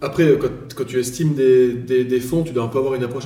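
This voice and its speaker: The voice moves at a fairly quick pace with fairly even intonation. Audible room echo and noticeable background noise fill the recording. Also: man. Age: 30s. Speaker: real estate appraiser. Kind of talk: casual chat.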